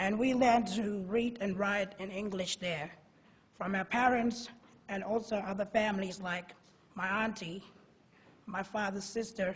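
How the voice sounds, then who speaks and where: Amid audible room echo, a woman speaks at a fairly slow pace and medium pitch, somewhat breathy, with fairly even intonation and long, frequent pauses. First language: Pitjantjatjara. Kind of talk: prepared conference talk. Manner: halting, repeats words.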